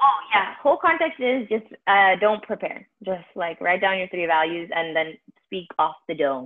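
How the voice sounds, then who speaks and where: At a fairly slow pace, a woman with a medium pitch uses lively intonation in an ordinary speaking voice. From US, Indian-American family. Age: 20s. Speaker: podcast co-host. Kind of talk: casual chat.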